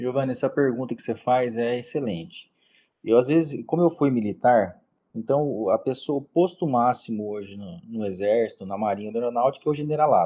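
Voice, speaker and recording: Against a quiet background, a man with a dark, mellow voice at medium pitch talks at a fairly quick pace, with ordinary pitch variation and big swings in loudness. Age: 40s. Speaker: criminal defense lawyer. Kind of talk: interview. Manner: halting.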